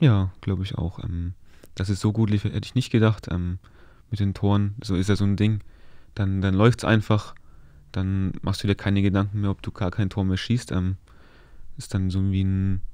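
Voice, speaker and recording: A man speaks in a fairly low, dark and mellow voice with a monotone, flat delivery and long, frequent pauses against a quiet background. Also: moderate pace, dry sound with no echo. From Upper Franconia, Germany (Kulmbach area); Upper Franconia, Germany. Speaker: professional footballer; guest. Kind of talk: casual chat. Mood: relaxed, calm. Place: studio. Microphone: studio mic.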